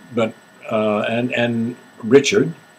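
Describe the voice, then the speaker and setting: A man speaks with a medium pitch. Noticeable background noise is present. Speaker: actor and singer. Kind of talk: casual conversational interview talk.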